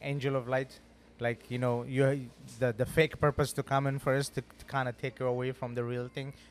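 A man speaks at a fairly quick pace. His pitch is medium, and his intonation is monotone and flat. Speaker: podcast host. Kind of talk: casual interview. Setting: studio. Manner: loud; halting.

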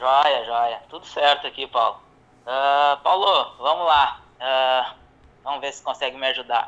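This is an unremarkable speaking voice at a fairly slow pace with fairly even intonation. Its loudness swings widely. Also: man, fairly high pitch for a man. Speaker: caller planning to move to the US. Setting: phone call.

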